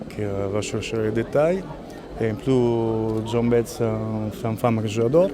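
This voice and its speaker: A man with an Italian accent speaks fairly slowly in a medium pitch, with long, frequent pauses. There is noticeable background noise and audible room echo. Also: ordinary pitch variation. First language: Italian (speaking French). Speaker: music photographer. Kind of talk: interview.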